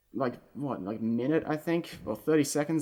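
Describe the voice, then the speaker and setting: Delivered at a fairly quick pace with an Australian accent, the speech comes on a very clean recording with a silent background. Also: man. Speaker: video game commentator. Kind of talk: casual chat.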